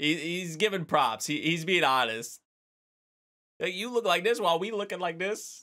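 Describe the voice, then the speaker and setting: A man's high, bright, sharp voice in an animated tone, with lively intonation at a moderate pace against a quiet background. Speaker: anime reaction youtuber. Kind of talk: casual reaction commentary. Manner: animated, laughs often. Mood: amused, excited.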